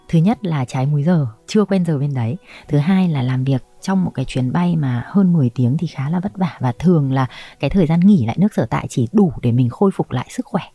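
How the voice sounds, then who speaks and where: A woman speaks at a fairly quick pace with a very deep, low pitch and lively intonation. Her tone is dark and mellow, somewhat breathy, in a dry, close sound with no echo. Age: 30s. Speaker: flight attendant. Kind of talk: interview storytelling.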